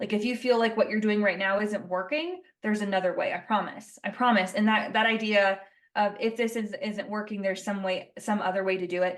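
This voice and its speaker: A woman with an American accent, medium pitch, and a fairly quick pace. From Colorado, US. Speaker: rancher and speaker. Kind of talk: podcast interview. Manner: animated.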